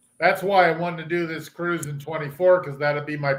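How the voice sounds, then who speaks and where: A man's fairly high voice, an unremarkable speaking voice, at a moderate pace with fairly even intonation. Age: 60s. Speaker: cruise traveler. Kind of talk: casual chat.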